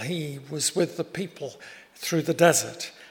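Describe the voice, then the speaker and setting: Noticeable background noise surrounds a man with a British accent. He speaks at a fairly slow pace with a fairly high pitch. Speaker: preacher. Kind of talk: sermon. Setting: church.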